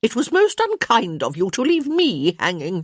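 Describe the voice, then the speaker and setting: A put-on character voice from a woman, high in pitch and swinging very widely up and down. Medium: read story. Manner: barking, blunt, imperious.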